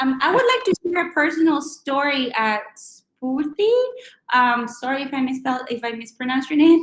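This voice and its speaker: With a strong Chilean accent, a woman speaks at a high pitch. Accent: thick Chilean Spanish. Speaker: recruiter and career speaker. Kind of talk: webinar talk and Q&A.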